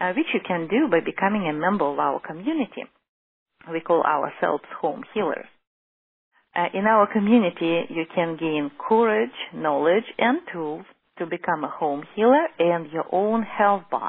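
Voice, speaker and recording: The speaker has a Russian accent and lively intonation, talking at a moderate pace. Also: woman, fairly low pitch for a woman. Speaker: holistic physician. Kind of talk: lecture. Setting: teleclass.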